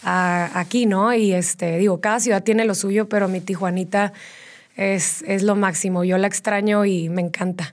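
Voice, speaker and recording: A woman with an ordinary speaking voice talks at a medium pitch and a moderate pace, with fairly even intonation and very even loudness. The recording is very clean, with a silent background. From Mexico, Tijuana. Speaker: fitness studio founder. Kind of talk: interview.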